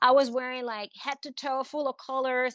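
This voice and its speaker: The pace here is moderate. The speech carries a Spanish accent. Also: woman. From Venezuela. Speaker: art advisor and author. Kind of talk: interview. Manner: animated.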